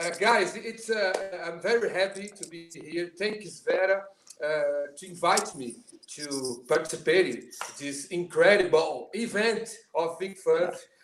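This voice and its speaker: Over noticeable background noise, a man with a Portuguese accent and high pitch speaks at a fairly slow pace, with ordinary pitch variation and big swings in loudness. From Brazil. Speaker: drummer. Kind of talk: casual chat. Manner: halting.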